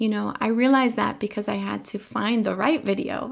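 A woman speaks at a moderate pace with an American accent. The recording is very clean, with a silent background. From Colombia, raised in the US. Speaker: teacher. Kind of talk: interview.

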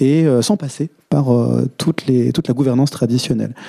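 Dry, close sound with no echo carries a man's dark, mellow tone at medium pitch, with ordinary pitch variation and a moderate pace. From France, Vosges. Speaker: co-founder of a collective intelligence firm. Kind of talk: panel discussion. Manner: hesitant.

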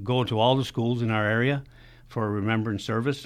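A man's normal speaking voice at medium pitch, with fairly even intonation. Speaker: veterans legion secretary. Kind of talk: radio interview.

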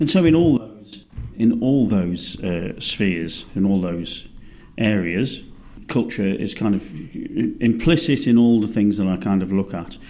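With a British accent, a man speaks at a fairly slow pace in a fairly low, dark, mellow voice with lively intonation. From Britain. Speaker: cultural geographer, professor. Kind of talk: academic interview.

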